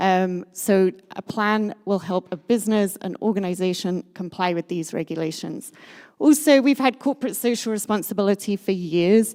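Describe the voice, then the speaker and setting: Here a woman with a British accent talks at a moderate pace and medium pitch. The very clean recording has a silent background and a dry, close sound with no echo. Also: ordinary pitch variation. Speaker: sustainability consultant. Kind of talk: conference talk.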